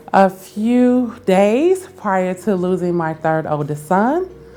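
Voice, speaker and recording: Over noticeable background noise, a woman with a medium pitch speaks very slowly with lively intonation. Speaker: interview guest, staffing agency founder.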